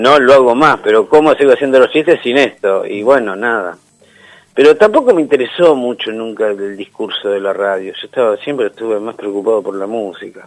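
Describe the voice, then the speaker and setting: A man talking at a fairly quick pace, with big swings in loudness. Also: medium pitch for a man, ordinary pitch variation. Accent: Rioplatense. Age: 60s. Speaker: radio DJ. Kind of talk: interview.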